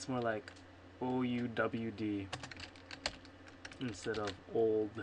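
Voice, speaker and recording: Speech comes at a very slow pace with long, frequent pauses, over noticeable background noise. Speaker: software developer. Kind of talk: programming screencast, thinking aloud. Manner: casual, halting self-corrections.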